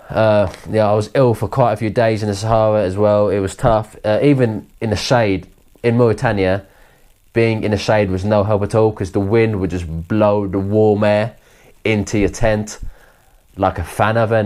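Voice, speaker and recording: A man with a southern English accent, fairly low pitch, fairly even intonation and a moderate pace. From Kent, south-east England. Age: 20s. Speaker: adventurer recounting a trip. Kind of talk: interview monologue. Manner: halting, with restarts.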